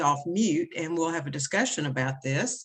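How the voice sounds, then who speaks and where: A woman speaks with a Tennessee accent. Her pitch varies in an ordinary way. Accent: Southern US (Tennessee). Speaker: education consultant. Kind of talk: presentation to parents.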